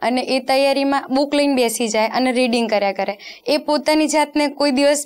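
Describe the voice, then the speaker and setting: This woman's voice sits high in pitch, with fairly even intonation. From Rajasthan. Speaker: police sub-inspector exam topper; guest. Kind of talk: interview. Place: studio. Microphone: lapel.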